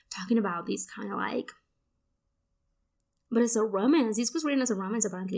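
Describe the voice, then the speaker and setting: A woman's fairly high voice with vocal fry, ordinary pitch variation and a very fast pace. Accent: Spanish. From Mexico. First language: Spanish. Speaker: book youtuber. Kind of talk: casual book haul vlog. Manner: casual, many fillers.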